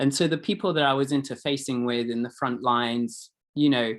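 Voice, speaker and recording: A man with a British accent talks at a moderate pace, his medium pitch showing ordinary variation. The recording is very clean, with a silent background. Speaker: recovery advocate and helping professional. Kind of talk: panel discussion. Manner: casual, halting with fillers.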